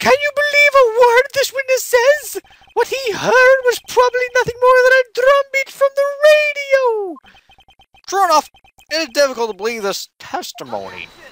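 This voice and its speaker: Squeaky and extremely high-pitched, this is a put-on character voice. Its pace is moderate. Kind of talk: courtroom speech. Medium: fan dub. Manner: hesitant, easily confused.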